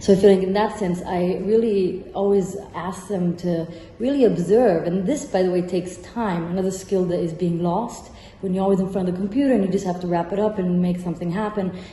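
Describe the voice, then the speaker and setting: A woman talks fairly quickly with fairly even intonation while noticeable background noise carries on. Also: medium pitch for a woman. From Rome, Italy. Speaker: architect and architecture professor. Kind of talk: interview answer.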